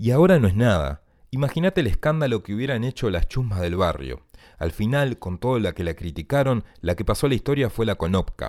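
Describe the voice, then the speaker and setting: A man's fairly quick, medium-pitched voice with vocal fry and very wide pitch swings, in a dry, close, echo-free and very clean recording over a silent background. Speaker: writer. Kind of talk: reading aloud.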